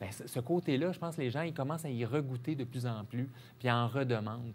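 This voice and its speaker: A man talks at a fairly quick pace. His voice sits at medium pitch with ordinary pitch variation. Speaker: marketing director of an outdoor adventure company. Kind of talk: TV interview. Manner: casual, hesitant with fillers.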